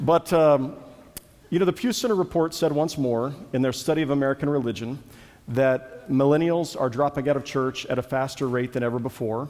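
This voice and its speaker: The man's pitch is fairly high with ordinary pitch variation. He keeps a fairly quick pace. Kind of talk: conference talk. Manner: fast.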